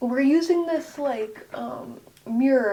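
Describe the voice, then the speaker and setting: This woman is soft-spoken. Her tone is dark and mellow. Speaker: tarot/oracle deck reviewer, ASMR content creator. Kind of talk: ASMR soft-spoken card deck walkthrough to camera. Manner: soft-spoken, casual.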